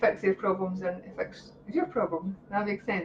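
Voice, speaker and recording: This is a woman with a Scottish accent. Her pitch sits in the medium range. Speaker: psychic reader. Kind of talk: live-stream psychic readings. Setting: live video stream. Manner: animated; fast.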